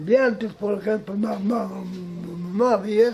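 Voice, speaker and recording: The speech moves at a very slow pace with fairly even intonation. Light background noise sits underneath. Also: man. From Cajamarca, Peru. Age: 80s+. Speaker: retired farmer. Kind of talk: interview answer. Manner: hesitant, halting.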